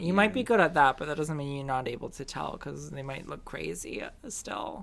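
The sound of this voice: A raspy, put-on character voice at a low-to-middle pitch rattles along at a fairly quick pace.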